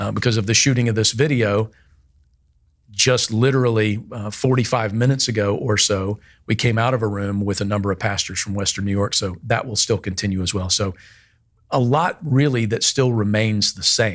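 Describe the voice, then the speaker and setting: In a very clean recording with a silent background, a man with a fairly low pitch talks at a moderate pace with ordinary pitch variation. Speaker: pastor. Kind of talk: casual chat. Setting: video recording.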